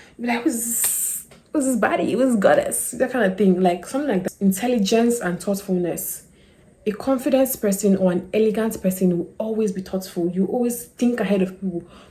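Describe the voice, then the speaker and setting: A fairly quick pace, ordinary pitch variation, and noticeable background noise. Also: woman, medium pitch for a woman. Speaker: lifestyle YouTuber. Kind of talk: casual talk-to-camera advice. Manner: fast; animated.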